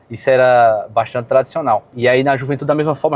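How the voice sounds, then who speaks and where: Delivered at a very fast clip, the speech keeps a fairly even intonation. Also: man. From Brazil, Rio Grande do Norte, Seridó region. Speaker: local resident. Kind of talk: documentary interview testimony.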